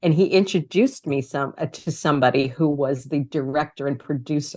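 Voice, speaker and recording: Against a quiet background, a woman with a New York accent speaks at a moderate pace in a very deep, low pitch with ordinary pitch variation. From New York City, Queens. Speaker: author and communication coach. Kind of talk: interview. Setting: podcast interview.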